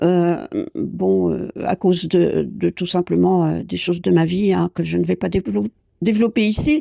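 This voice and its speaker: A woman speaks at a fairly slow pace. The recording is very clean, with a silent background and a dry, close sound with no echo. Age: 60s. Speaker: painting coach and podcaster. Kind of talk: improvised podcast monologue. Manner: halting, many hesitations.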